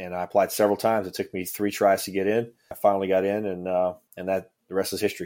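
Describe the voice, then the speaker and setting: In a Cajun accent, the speaker talks at a very fast pace with monotone, flat intonation on a very clean recording with a silent background. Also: man, fairly low pitch for a man. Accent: Cajun Louisiana English. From Louisiana Cajun country (Ville Platte). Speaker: former federal agent and author. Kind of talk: interview.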